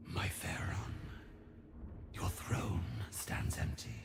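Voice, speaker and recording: Someone whispers in a put-on character voice at a very slow pace. Loud background noise fills the recording. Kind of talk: epic fantasy game voice acting. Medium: video game. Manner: formal, deferential, ceremonious.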